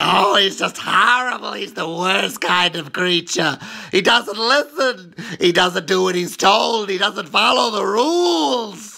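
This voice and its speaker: Using a high-pitched, cartoonish character voice, a man speaks in a raised, projected voice. His pace is fairly slow, with ordinary pitch variation. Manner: complaining, sour.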